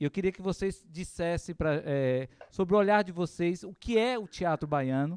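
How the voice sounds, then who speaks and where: A man at a fairly slow pace with lively intonation, in a dry, close sound with no echo. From Vitória da Conquista, Bahia, Brazil. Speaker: podcast host and actor. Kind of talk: casual chat.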